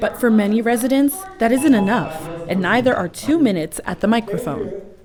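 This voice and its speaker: A woman talks fairly quickly with lively intonation and a fairly high pitch, noticeable background noise behind her. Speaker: TV news reporter. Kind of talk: news report.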